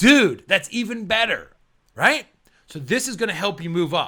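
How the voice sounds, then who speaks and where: A man's raised, projected voice, high in pitch with a bright, sharp tone, on a very clean recording with a silent background. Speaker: PMP exam coach. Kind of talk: motivational talk to camera. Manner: loud; casual, filler words.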